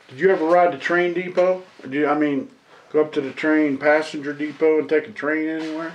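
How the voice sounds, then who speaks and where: The voice moves at a fairly quick pace. Noticeable background noise runs underneath. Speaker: local history interviewer. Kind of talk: interview questions.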